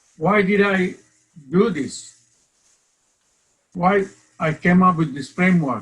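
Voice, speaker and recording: With a Bangladeshi accent, a man speaks with ordinary pitch variation. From Bangladesh, Chittagong. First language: Bengali. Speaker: professor. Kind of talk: lecture. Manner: loud.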